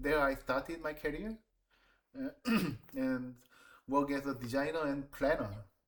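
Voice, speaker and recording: A fairly high-pitched man with a Korean accent, with long, frequent pauses. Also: ordinary pitch variation, moderate pace. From South Korea, Seoul. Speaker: designer and planner. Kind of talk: job interview. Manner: halting.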